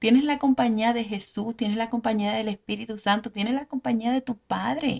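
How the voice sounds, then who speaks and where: A woman's somewhat breathy speech, its pitch varying in an ordinary way. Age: 40s. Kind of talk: devotional teaching monologue.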